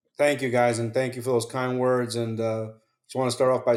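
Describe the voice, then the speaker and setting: A man of medium pitch speaks at a fairly quick pace with a New Jersey accent and monotone, flat intonation. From New Jersey, Hackensack. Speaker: retired police officer, 9/11 survivor. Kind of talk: interview.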